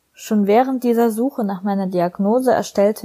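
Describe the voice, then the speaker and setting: Here is a woman with a plain, everyday voice at a medium pitch and ordinary pitch variation. The sound is dry and close, with no echo. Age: 20s. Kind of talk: recorded personal statement. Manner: scripted, read-aloud style.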